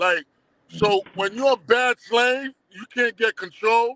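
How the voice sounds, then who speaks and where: A man's extremely high voice, bright and sharp, with ordinary pitch variation at a very slow pace, dry and close with no echo. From Brooklyn, New York (Crown Heights), born in Haiti. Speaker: documentary producer. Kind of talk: casual interview. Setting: live stream.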